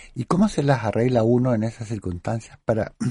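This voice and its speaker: A man's dark, mellow, somewhat breathy voice at medium pitch and a moderate pace. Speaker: radio host and academic. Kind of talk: radio interview. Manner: formal.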